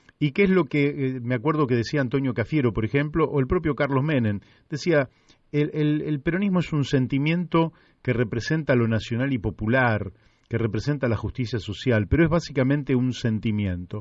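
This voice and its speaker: A man at a medium pitch, with lively intonation, very even loudness and a moderate pace. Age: 60s. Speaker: radio host. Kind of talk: radio interview. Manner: halting.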